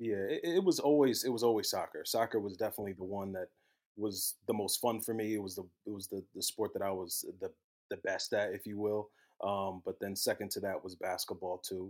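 A man talks at a fairly quick pace with a New Jersey accent. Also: very clean recording, silent background. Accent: American, New Jersey. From US, South Jersey. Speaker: former college soccer player, manager. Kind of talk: casual chat.

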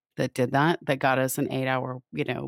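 A woman's very deep, low voice with vocal fry and an American accent, dry and close with no echo, on a very clean recording with a silent background. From US Midwest, rural Wisconsin. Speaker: podcast host. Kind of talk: interview.

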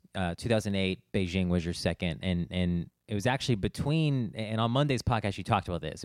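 A very deep, low-pitched man's voice at a fairly quick pace, in a very clean recording with a silent background. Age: 30s. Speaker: podcast host. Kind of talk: interview. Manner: halting, stammering.

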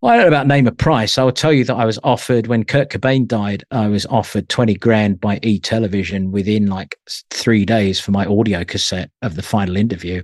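A man with an English accent and a fairly low pitch talks with hardly any pauses and ordinary pitch variation, in a dry, close sound with no echo. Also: fairly quick pace. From England (London, Isle of Wight). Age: 50s. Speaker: music journalist and magazine editor. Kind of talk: casual interview.

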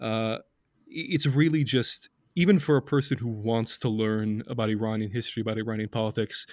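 A man with a plain, everyday voice, medium in pitch with ordinary pitch variation, at a moderate pace, in a very clean recording with a silent background. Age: 20s. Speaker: podcast host writing on Middle East politics. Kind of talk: casual chat.

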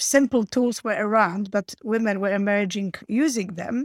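A woman with a Polish accent speaks at a moderate pace and a medium pitch, her intonation fairly even, on a very clean recording with a silent background and a dry, close sound with no echo. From Poland. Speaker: internet entrepreneur and futurist. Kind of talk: interview conversation.

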